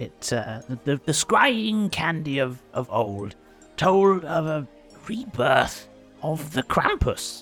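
A man's put-on character voice, fairly high in pitch, at a very slow pace over faint background music. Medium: actual play. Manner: rambling, folksy.

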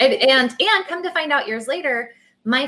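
A woman with an American accent, moderately paced, with very wide pitch swings. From Texas. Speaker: entrepreneur, abuse survivor. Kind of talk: testimony. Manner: halting, many fillers.

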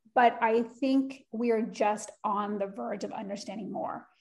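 A woman's normal speaking voice, fairly high-pitched, with ordinary pitch variation. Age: 40s. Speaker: skincare brand co-founder, former beauty editor. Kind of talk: interview.

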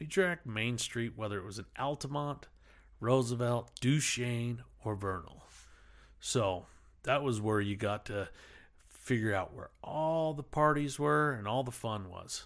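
On a very clean recording with a silent background, a man speaks with an American accent. His medium-pitched voice carries lively intonation. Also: fairly slow pace. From Uintah Basin, Utah. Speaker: podcast host. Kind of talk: solo casual rambling monologue. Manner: rambling, casual, filler-heavy.

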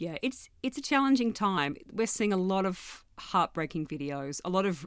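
Speaking with an Australian accent, a woman uses lively intonation at a medium pitch and moderate pace in a very clean recording with a silent background. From rural New South Wales, Australia (Gunnedah, Armidale). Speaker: journalist and news editor. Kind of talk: interview.

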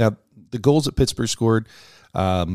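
Dark and mellow in tone, a man's voice with ordinary pitch variation comes through in a dry, close sound with no echo on a very clean recording with a silent background. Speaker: hockey podcast host. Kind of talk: casual chat.

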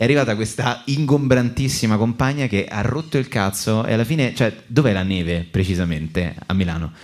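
A man with an ordinary speaking voice, medium pitch and lively intonation, at a fairly quick pace. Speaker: comedian and podcast host. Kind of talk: live comedic podcast banter. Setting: stage with live audience.

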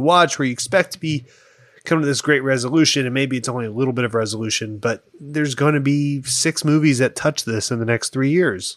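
Speaking at a fairly quick pace, a man has an ordinary speaking voice, a medium pitch and ordinary pitch variation. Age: 30s. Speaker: podcast guest. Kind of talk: casual chat.

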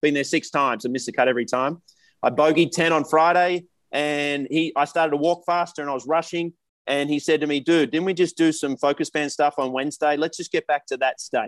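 A man with an Australian accent speaks at a fairly quick pace in a fairly high voice with fairly even intonation. The sound is dry and close with no echo, over a quiet background. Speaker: professional golfer. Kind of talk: casual chat.

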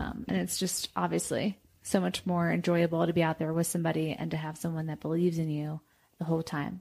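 A woman with an American accent talks at a very fast pace in a fairly low pitch with fairly even intonation. The recording is very clean, with a silent background. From New York. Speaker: professional runner. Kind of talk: casual interview.

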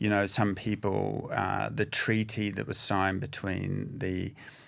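Speaking fairly slowly, a man with a very deep, low pitch talks with a New Zealand accent. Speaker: addiction recovery practitioner. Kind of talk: casual chat. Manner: halting.

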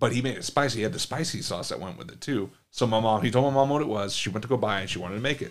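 With an American accent, a man talks at a very fast pace with hardly any pauses. His pitch is medium, with ordinary variation and big swings in loudness. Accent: American English, limited Spanish. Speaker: podcast co-host. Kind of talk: casual chat. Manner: casual, profane.

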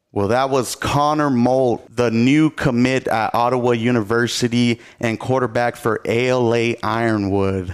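A man with an American accent has a plain, everyday voice at medium pitch, with fairly even intonation and very even loudness. He speaks at a fairly slow pace with hardly any pauses. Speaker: podcast host. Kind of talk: interview-style podcast hosting.

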